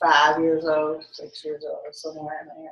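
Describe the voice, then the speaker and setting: A woman with a Texan accent speaks at a fairly slow pace in a very deep, low voice. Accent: Texas Southern. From Texas. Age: 80s+. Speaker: grandmother interviewed by family. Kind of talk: family interview. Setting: family home visit.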